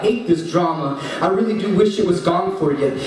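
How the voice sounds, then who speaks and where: A man with a high pitch talks at a fairly quick pace. His intonation is fairly even, and there is noticeable background noise. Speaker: father and spoken word poet. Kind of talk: spoken word poetry reading at an open mic. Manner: emotional, strained, holding back tears.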